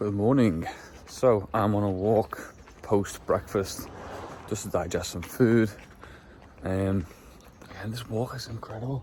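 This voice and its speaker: Fairly slow speech from a man with an English accent and fairly low pitch, fairly even intonation, big swings in loudness and long, frequent pauses, over noticeable background noise. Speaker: amateur powerlifter vlogger. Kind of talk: casual vlog. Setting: outdoors.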